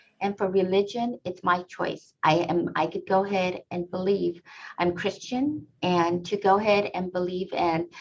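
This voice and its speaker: A woman with an American accent talks at a moderate pace in an ordinary speaking voice. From US. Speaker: immigrant guest. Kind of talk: interview answers.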